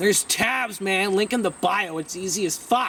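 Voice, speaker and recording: Shouting loudly over noticeable background noise, a man with a high pitch speaks at a fairly quick pace with ordinary pitch variation. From Ontario, Canada. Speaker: rock musician. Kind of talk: casual Q&A monologue. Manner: loud, often shouting; animated.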